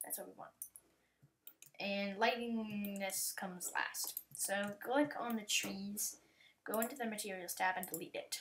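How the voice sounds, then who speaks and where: A woman uses a plain, everyday voice at a medium pitch with ordinary pitch variation. She talks at a fairly slow pace, and her loudness swings widely. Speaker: YouTube tutorial maker. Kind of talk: software tutorial. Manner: casual, with fillers.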